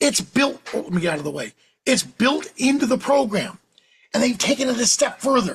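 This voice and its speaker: In a New York accent, a man talks at a fairly quick pace with an extremely high pitch, very wide pitch swings and an animated tone. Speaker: professional photographer and educator. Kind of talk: software tutorial demo. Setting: live webinar. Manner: fast.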